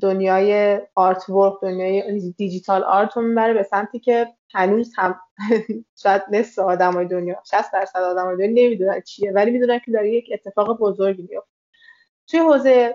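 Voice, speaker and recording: A woman's medium-pitched voice with fairly even intonation at a fairly quick pace. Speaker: copywriter and content manager. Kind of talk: interview conversation.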